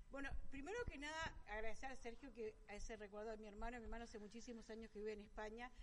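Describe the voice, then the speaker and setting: Fairly high pitch from a woman with fairly even intonation, over noticeable background noise. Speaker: winery director. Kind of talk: radio interview. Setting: restaurant, live broadcast.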